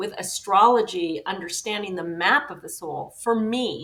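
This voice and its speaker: Using a plain, everyday voice, a woman talks at a moderate pace. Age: 60s. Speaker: psychological astrologer and author. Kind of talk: interview.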